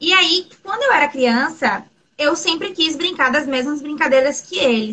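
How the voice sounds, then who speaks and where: Raised and projected, a woman's high-pitched voice carries a bright, sharp tone. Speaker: LGBTQIA+ interviewee. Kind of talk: interview conversation.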